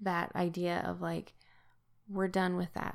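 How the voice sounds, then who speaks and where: Here a woman speaks with an American accent. Her pace is fairly slow. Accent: Utah accent, noticed by locals where staying. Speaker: podcast co-host, scripture study. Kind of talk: casual scripture study discussion.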